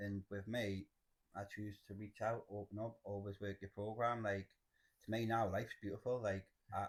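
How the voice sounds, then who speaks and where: In a Geordie accent, a man talks at a moderate pace with a fairly low pitch and monotone, flat intonation. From northern England, Cramlington near Newcastle. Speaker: person in addiction recovery. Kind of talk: testimony.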